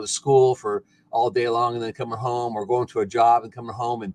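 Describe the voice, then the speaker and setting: In a dry, close recording with no echo, a man speaks at a medium pitch with fairly even intonation. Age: 60s. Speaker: retired farmer and rancher. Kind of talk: casual chat.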